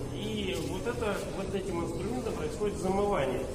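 The voice belongs to a man. There is loud background noise throughout. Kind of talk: tutorial. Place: hall. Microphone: camera far.

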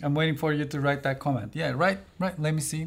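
This man speaks at a fairly quick pace in a fairly high, somewhat breathy voice. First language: not English. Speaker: tech reviewer. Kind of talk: product review video.

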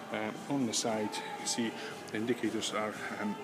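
A man speaking at a moderate pace over loud background noise. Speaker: car salesperson. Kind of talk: casual sales walkaround commentary. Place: shop. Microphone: phone near.

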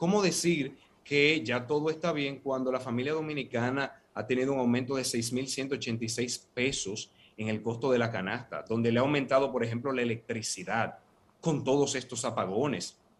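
This man's voice sits at a fairly high pitch and moves at a moderate pace. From Dominican Republic. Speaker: opposition party vice president; guest. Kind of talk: political debate panel. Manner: measured, formal. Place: office. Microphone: earbuds.

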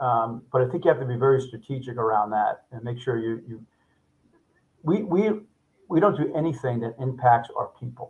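A somewhat breathy man with an American accent, lively intonation and big swings in loudness. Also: moderate pace. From US Northeast. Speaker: home services company CEO; guest. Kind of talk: interview. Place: office.

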